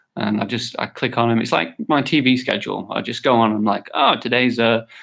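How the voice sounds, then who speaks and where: This is an ordinary speaking voice at a moderate pace, with ordinary pitch variation. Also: man. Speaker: livestreamer answering viewer questions. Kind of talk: casual livestream chat.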